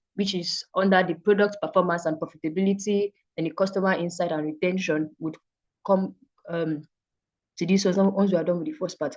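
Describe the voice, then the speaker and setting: A woman at a medium pitch, moving at a fairly quick pace with fairly even intonation. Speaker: data analytics instructor. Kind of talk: online class lecture. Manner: fast.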